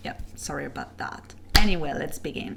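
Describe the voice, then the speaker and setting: A woman speaks with a French accent. Noticeable background noise and audible room echo come through. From France. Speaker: webcomic artist and animator. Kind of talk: casual Q&A video. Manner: hesitant, many fillers.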